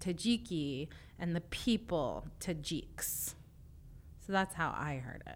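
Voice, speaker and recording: A woman with an unremarkable speaking voice talks at a fairly low pitch with lively intonation. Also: very clean recording, silent background. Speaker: podcast host and linguist. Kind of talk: interview for an educational podcast. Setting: studio.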